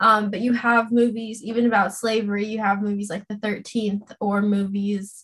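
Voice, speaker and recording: A somewhat breathy woman with an American accent at a moderate pace. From Los Angeles, California. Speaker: social media coordinator and political content creator. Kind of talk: casual interview chat.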